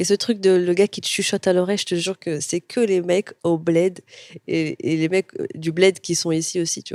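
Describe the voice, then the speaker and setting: A woman speaks at a moderate pace with a fairly low pitch and monotone, flat intonation. The sound is dry and close with no echo. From Morocco, Casablanca. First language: Moroccan Arabic (speaking French). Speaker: comedian. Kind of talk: casual interview.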